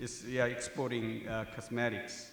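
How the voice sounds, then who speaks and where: Noticeable background noise and audible room echo surround a man speaking with a Korean accent. His pitch is medium and his pace moderate. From South Korea. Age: 60s. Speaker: professor. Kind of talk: speech at a tribute event. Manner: halting, many fillers.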